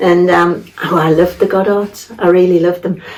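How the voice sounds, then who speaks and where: With a Geordie accent, a woman talks at a fairly quick pace over noticeable background noise. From northern England, Tyneside. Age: 80s+. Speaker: local resident sharing memories. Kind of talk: casual interview. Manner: halting.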